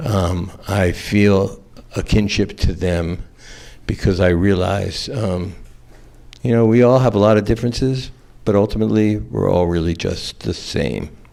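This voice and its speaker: An American-accented man with a fairly low pitch and a dark, mellow tone speaks at a fairly slow pace with ordinary pitch variation. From US South, Atlanta, Georgia. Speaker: trial attorney on a panel. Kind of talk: panel talk, personal story. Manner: halting, many fillers.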